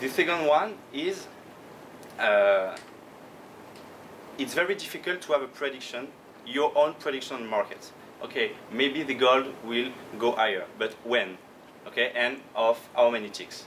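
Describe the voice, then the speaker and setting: A man with a French accent speaks at a medium pitch and a fairly slow pace, leaving long, frequent pauses, with audible room echo and noticeable background noise. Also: lively intonation. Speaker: professional trader. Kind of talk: conference talk. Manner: halting.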